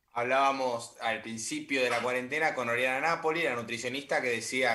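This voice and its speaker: A man with an unremarkable speaking voice at a fairly quick pace with ordinary pitch variation. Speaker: sports podcast co-host. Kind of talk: interview.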